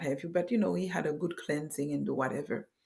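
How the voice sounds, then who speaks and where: There is vocal fry in this woman's very deep, low voice. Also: very clean recording, silent background. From Haiti. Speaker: pastor's wife. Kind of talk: podcast interview, personal testimony. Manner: halting.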